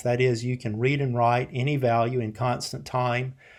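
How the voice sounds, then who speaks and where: Speaking in a South Carolina accent, a man has a medium pitch. He keeps a moderate pace. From US South, Columbia, South Carolina. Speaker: programming instructor. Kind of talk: lecture. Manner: casual, many filler words and repetitions.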